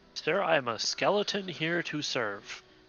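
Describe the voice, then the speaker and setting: A man speaks in a put-on character voice. His pitch is fairly high, and his pace is moderate. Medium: actual play. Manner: formal, polite.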